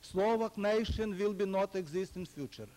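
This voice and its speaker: High-pitched man with a Ukrainian accent and ordinary pitch variation. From Ukraine. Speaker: historian, former political prisoner. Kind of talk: lecture.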